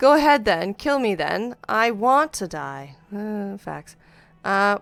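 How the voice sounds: Natural voice for reading aloud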